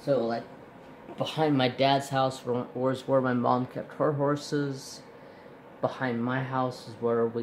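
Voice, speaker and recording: A man talks at a fairly slow pace and a medium pitch. His intonation is monotone and flat, with light background noise. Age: 40s. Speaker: craft youtuber. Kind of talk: tutorial with casual chat. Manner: rambling, run-on. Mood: relaxed, conversational. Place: home room. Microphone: phone near.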